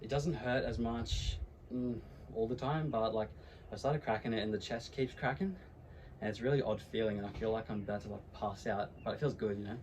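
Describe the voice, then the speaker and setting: The voice is somewhat breathy. It moves at a fairly quick pace with an Australian accent. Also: man, medium pitch for a man, ordinary pitch variation. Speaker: YouTuber. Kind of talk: casual vlog. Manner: casual, filler-heavy.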